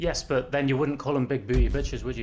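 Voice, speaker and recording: Here a man talks with a Welsh accent. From Wales. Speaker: gaming streamer. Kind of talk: casual chat. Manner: animated.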